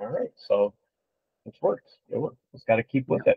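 The background stays quiet while a man speaks at a moderate pace. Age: 50s. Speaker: fitness competitor; podcast guest. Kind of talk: casual video podcast interview. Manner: halting, many fillers. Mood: warm, reflective. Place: home room.

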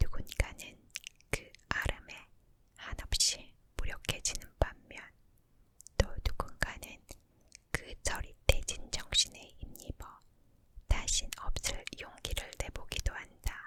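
Long, frequent pauses in a woman's whisper at a very slow pace. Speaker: ASMR creator. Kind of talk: whispered ASMR book reading. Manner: whispered, soft, slow.

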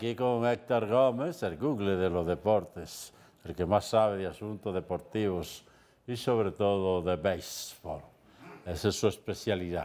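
Speaking at a fairly slow pace, a man with a fairly low pitch and a dark, mellow tone uses ordinary pitch variation. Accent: Dominican. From Dominican Republic. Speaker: TV show host and commentator; TV show host, commentator. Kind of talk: casual talk show commentary. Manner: animated. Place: studio. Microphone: lapel.

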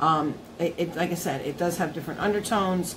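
A woman is speaking. Noticeable background noise is present. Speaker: beauty vlogger. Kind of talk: product review vlog chat. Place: home room. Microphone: phone near.

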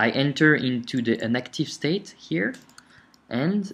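In a non-native accent, a man talks very slowly with lively intonation. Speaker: software tutorial instructor. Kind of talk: screencast tutorial narration. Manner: casual, hesitant.

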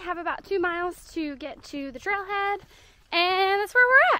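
A woman speaks at a moderate pace in a raised, projected voice with a bright, sharp tone. Her pitch varies an ordinary amount, and the sound is dry with no echo. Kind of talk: casual vlog chat. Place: forest. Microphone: phone near.

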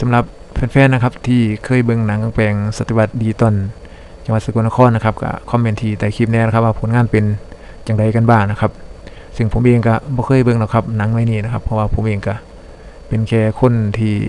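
A man with an Isan accent, medium pitch and monotone, flat intonation, over noticeable background noise. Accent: Isan (northeastern Thai). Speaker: YouTube channel narrator. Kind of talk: narrated video review. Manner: polite, steady with frequent filler particles.

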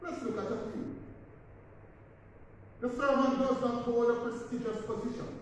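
A man speaks amid strong room echo. Light background noise is also present. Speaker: priest. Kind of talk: sermon. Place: church. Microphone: camera far.

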